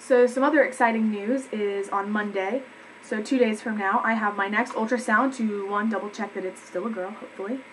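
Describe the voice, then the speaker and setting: A woman's fairly high voice at a fairly quick pace, with fairly even intonation and noticeable background noise. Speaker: vlogger. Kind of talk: casual vlog update. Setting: home, webcam recording. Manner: fast.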